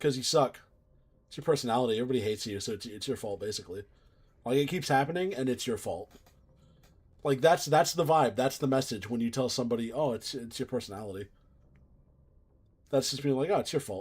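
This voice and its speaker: A man speaks very fast, somewhat breathy, with ordinary pitch variation. He leaves long, frequent pauses. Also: medium pitch for a man. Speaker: video game streamer. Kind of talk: casual chat. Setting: live stream.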